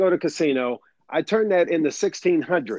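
Here is a man with a normal speaking voice. His pitch is fairly high. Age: 40s. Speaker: podcast co-host. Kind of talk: casual chat.

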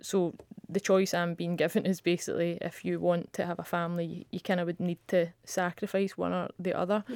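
A woman speaks at a fairly quick pace with a Scottish accent. Her fairly low voice stays monotone, with flat intonation. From Scotland. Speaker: professional footballer. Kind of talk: interview.

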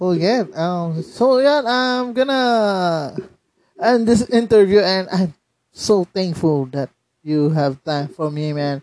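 Speaking very slowly, a man with a Filipino accent uses a high pitch that swings very widely. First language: Tagalog. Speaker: podcast host. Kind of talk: casual interview. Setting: remote call.

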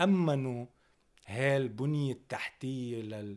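An ordinary speaking voice from a man at medium pitch, with ordinary pitch variation. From northern Lebanon (Tripoli, Dinniyeh). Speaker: rapper. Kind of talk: interview.

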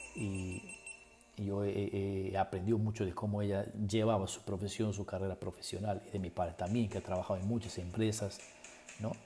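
There is noticeable background noise as a man talks at a moderate pace. His fairly low voice stays monotone, with flat intonation. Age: 30s. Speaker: podcast host and university lecturer. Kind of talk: solo podcast monologue. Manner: halting, many repeated words.

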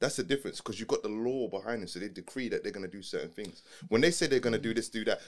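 His medium-pitched voice races at a very fast pace, with big swings in loudness and ordinary pitch variation from this man. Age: 30s. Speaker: podcast co-host. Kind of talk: casual chat.

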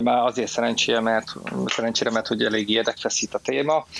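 A man speaks over noticeable background noise. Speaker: film expert and cybersecurity specialist. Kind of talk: casual chat. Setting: online audio room. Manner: halting.

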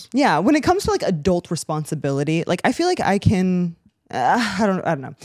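A woman speaks at medium pitch with lively intonation. It is a normal speaking voice. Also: fairly quick pace. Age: 20s. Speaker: podcast co-host. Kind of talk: casual chat.

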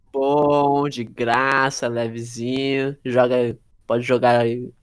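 A man speaks at medium pitch. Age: young. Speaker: podcast co-host. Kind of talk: casual chat.

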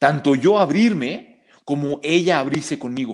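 A man talks in an ordinary speaking voice at a fairly high pitch, with ordinary pitch variation. The recording is very clean, with a silent background. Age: 30s. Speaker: psychologist and martial arts teacher. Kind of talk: casual interview.

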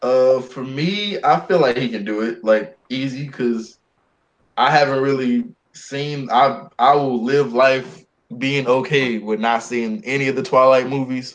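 A plain, everyday voice at a fairly slow pace, with ordinary pitch variation. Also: man, medium pitch for a man. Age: 20s. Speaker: podcast co-host. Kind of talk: casual chat.

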